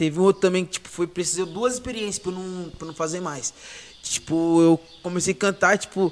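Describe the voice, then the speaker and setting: This man has a high-pitched voice. He talks fairly quickly. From São Paulo, Zona Norte (Brasilândia). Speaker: funk MC. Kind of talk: casual chat.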